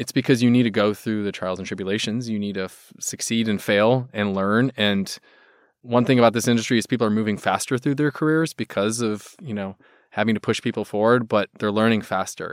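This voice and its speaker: A man with an ordinary speaking voice talks at a fairly quick pace in a medium pitch, with fairly even intonation but big swings in loudness. The sound is dry and close with no echo, on a very clean recording with a silent background. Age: 40s. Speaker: ad agency founder, podcast host. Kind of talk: casual interview.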